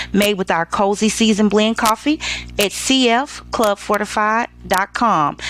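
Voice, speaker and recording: Music plays behind a woman whose voice is fairly high-pitched. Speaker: lifestyle show host. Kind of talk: casual commentary. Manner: loud; talkative, animated.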